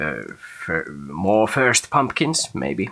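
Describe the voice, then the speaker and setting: A man's vocal fry with a Finnish accent, very wide pitch swings, and a very slow pace. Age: adult. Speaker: gaming video creator. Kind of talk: gameplay commentary. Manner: halting.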